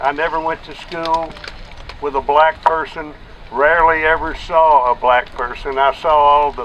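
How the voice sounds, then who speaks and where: A man with a Texan accent speaks in a fairly high pitch with monotone, flat intonation. Noticeable background noise sits behind him. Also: moderate pace. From Texas. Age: 70s. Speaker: protest speaker. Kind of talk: public speech at a rally.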